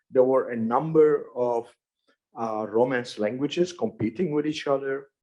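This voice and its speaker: A man's dark, mellow tone at medium pitch. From Turkey. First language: Judeo-Spanish. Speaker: academic linguist. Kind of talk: conference talk. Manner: halting.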